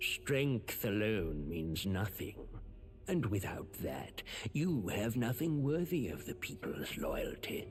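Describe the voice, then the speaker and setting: A man's put-on character voice at a fairly slow pace, over clear background noise. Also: medium pitch for a man. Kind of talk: formal courtly speech. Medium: video game. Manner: smooth, persuasive, subtly threatening.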